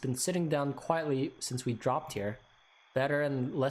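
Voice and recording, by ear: A natural voice, reading aloud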